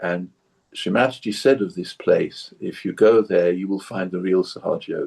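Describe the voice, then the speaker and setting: Against a quiet background, a man with a southern English accent talks at a moderate pace. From southern England (Surrey). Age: 70s. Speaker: long-time meditation practitioner. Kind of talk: interview conversation. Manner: repetitive, stammering restarts.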